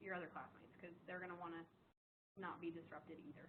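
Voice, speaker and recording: In an American accent, a woman with a medium pitch speaks at a very fast pace amid audible room echo. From US East Coast. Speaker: nursing instructor. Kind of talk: lecture. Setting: classroom. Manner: fast when excited.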